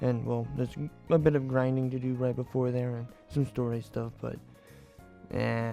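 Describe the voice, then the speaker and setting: Against music in the background, a man speaks at a moderate pace with long, frequent pauses. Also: medium pitch for a man, fairly even intonation. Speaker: gaming YouTuber. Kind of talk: gameplay commentary. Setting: poor audio quality.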